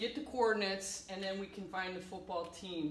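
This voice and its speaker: A woman's voice with fairly even intonation, audible room echo and light background noise. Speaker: teacher. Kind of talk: playful classroom lesson narration. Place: classroom. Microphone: camera far.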